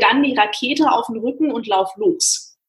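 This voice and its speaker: A woman has a plain, everyday voice with a fairly high pitch. Her pitch varies in an ordinary way. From Frankfurt, Germany. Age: 30s. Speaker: airline pilot. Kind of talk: interview.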